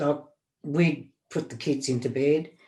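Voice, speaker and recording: A woman with an Australian accent speaks at a fairly slow pace in a very deep, low voice with a dark, mellow tone and fairly even intonation. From Australia, Melbourne (Preston). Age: 70s. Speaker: podcast guest, interviewee's grandmother. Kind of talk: casual interview.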